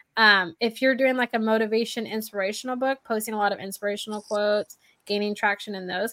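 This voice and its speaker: A woman speaks very fast with a fairly high pitch and a bright, sharp tone. The sound is dry and close with no echo, and the recording is very clean, with a silent background. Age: 30s. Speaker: podcast host. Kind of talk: casual chat. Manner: animated.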